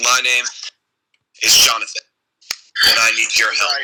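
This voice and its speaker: Moderately paced, the put-on character voice has a raspy edge. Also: man. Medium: actual play.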